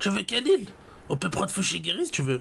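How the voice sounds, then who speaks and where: Putting on a character voice, a man speaks at a very fast pace over clear background noise. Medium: game stream. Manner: blunt, crude.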